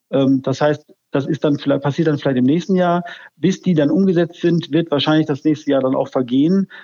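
Fairly quick in pace, a man with a plain, everyday voice and a fairly high pitch speaks with fairly even intonation and very even loudness. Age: 50s. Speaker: health IT company director. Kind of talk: interview.

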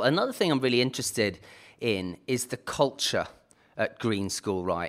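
At a moderate pace and medium pitch, a man with a British accent speaks with ordinary pitch variation in a very clean recording with a silent background. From United Kingdom. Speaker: podcast host. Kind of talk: interview.

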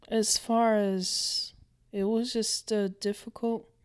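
Speaking at a very slow pace, a woman keeps her intonation fairly even. Her pitch is fairly high. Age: 50s. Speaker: host's mother. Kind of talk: interview. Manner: halting.

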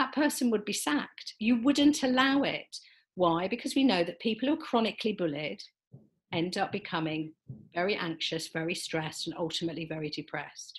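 A woman's somewhat breathy voice moves through very wide pitch swings. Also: medium pitch for a woman, fairly quick pace. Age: 60s. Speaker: life coach. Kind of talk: interview.

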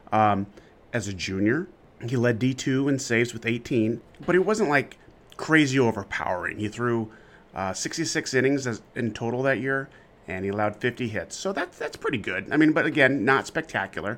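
A man talks at a moderate pace in a medium pitch. His intonation is lively. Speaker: podcast host. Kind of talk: interview for a college baseball podcast. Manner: conversational, hesitant, self-correcting.

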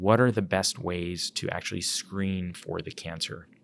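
The pace is fairly slow, with ordinary pitch variation. The recording is very clean, with a silent background. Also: man. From Philadelphia. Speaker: physician and cancer geneticist. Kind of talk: interview. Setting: at a conference. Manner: halting, many fillers.

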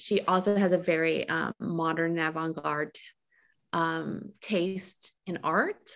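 A woman speaks at a very slow pace, her pitch fairly low and her intonation fairly even. The sound is dry and close with no echo, on a very clean recording with a silent background. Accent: Montreal. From Montreal, Quebec, Canada. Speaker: novelist. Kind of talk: interview. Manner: hesitant, many fillers.

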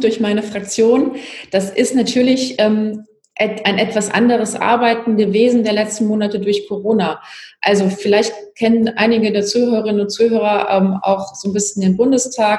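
Over noticeable background noise and audible room echo, a woman speaks at a moderate pace in a fairly high pitch, with monotone, flat intonation and very even loudness. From Palatinate, Germany. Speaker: politician. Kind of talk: interview.

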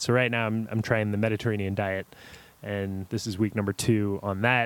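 A man with an American accent and an ordinary speaking voice talks at a medium pitch. His pace is fairly quick and his intonation fairly even. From US South, New Orleans area (Kenner, Louisiana). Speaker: coffee company wholesale team leader. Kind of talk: casual interview chat.

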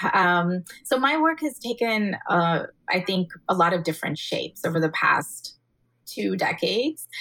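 In an American accent, a woman speaks at a fairly slow pace and medium pitch, her tone bright and sharp and her pitch swinging very widely. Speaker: author and activist. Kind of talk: casual interview conversation.

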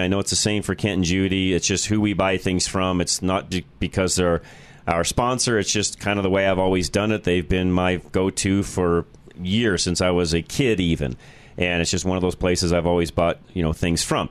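Delivered at a moderate pace, the speech has very even loudness and fairly even intonation. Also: man. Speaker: car talk radio host and former auto shop owner. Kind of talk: call-in radio show. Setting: radio studio.

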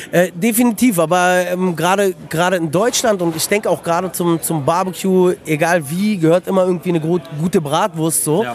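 A high-pitched man at a moderate pace with ordinary pitch variation, music in the background. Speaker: restaurant owner. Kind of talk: casual chat. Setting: outdoors.

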